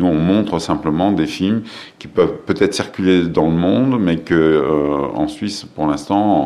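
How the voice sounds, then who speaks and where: Over noticeable background noise and audible room echo, a man with a very deep, low voice talks at a fairly slow pace with ordinary pitch variation. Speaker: film festival director. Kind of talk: interview. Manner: hesitant, many filler sounds and repetitions.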